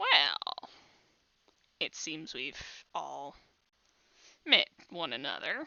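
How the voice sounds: The delivery is very slow, in a put-on character voice. Long pauses come often.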